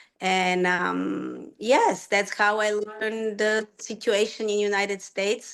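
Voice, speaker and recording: A woman speaks in a Bulgarian accent at medium pitch with monotone, flat intonation. Her pace is very slow, with hardly any pauses. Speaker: rhythmic gymnastics coach. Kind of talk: personal story talk.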